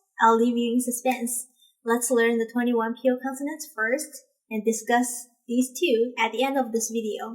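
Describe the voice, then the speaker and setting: At a moderate pace, a woman speaks in a high pitch with a bright, sharp tone and monotone, flat intonation. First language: Mandarin Chinese. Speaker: language teacher. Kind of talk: tutorial.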